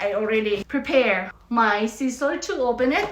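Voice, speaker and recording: A woman is speaking amid noticeable background noise. Her voice has audible room echo. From Philippines. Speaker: vlogger. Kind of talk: unboxing vlog.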